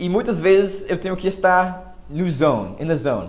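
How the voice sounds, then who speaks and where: A man with an American accent speaks at a high pitch and a fairly slow pace. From United States. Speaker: language learner and teacher. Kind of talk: casual talk to camera. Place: home room. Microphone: webcam.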